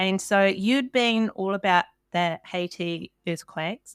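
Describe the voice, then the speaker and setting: In a New Zealand accent, a woman with a medium-pitched voice speaks fairly slowly with lively intonation, in a very clean recording with a silent background and a dry, close sound with no echo. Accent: Kiwi. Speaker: podcast host. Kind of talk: interview. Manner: animated.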